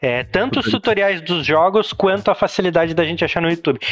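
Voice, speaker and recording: This is a man speaking. His pitch is high. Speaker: digital marketing specialist. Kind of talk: casual chat. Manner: animated.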